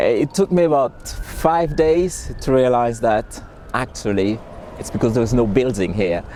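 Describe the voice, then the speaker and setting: A man with a Haitian accent talks at a fairly slow pace and a medium pitch. His intonation is lively, and there is noticeable background noise. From Haiti (Port-au-Prince). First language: Haitian Creole. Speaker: interviewee, migrant. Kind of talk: interview testimony. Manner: halting, repeats words.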